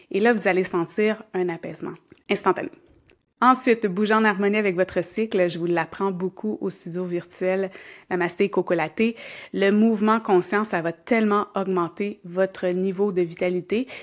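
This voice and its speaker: A calm voice with a Quebec accent at a moderate pace, fairly even in intonation, on a very clean recording with a silent background. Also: woman, medium pitch for a woman. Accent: Québécois French. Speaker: yoga teacher and podcast host. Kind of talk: podcast monologue. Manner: calm, conversational.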